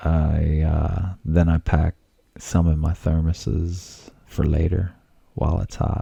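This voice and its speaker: A soft-spoken man with a very deep, low pitch and fairly even intonation. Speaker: home cooking vlogger. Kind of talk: casual cooking tutorial. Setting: home studio.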